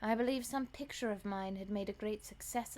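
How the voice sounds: What is heard is a natural reading voice.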